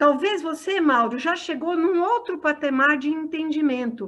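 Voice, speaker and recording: Extremely high pitch and lively intonation from a woman against a quiet background. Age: 60s. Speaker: spiritist lecturer. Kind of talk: discussion Q&A.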